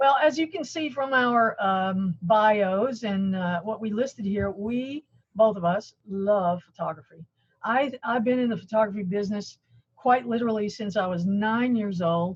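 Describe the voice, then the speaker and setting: A woman's fairly high, somewhat breathy voice at a moderate pace with ordinary pitch variation. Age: 60s. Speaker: color management expert. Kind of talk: webinar presentation.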